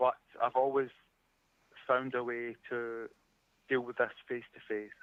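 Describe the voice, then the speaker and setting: Speaking in a Scottish accent, a man uses a flat, monotone delivery at medium pitch and a fairly slow pace. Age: 40s. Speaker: caller, arborist. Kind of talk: call-in show chat.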